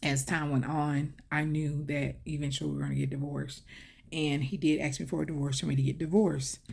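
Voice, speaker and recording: A woman with a Southern US accent speaks at a moderate pace in a very deep, low pitch. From US South, Mobile area, Alabama. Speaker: vlogger. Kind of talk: personal storytelling. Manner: conversational, many fillers.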